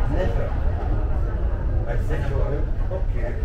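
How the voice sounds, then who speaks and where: Loud background noise and audible room echo surround a man talking at a fairly slow pace. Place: train.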